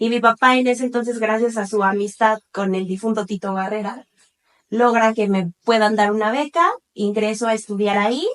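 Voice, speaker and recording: With an unremarkable speaking voice, a woman talks at a moderate pace, her fairly high pitch following fairly even intonation. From Cuernavaca, Mexico. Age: 30s. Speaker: lawyer. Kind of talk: interview.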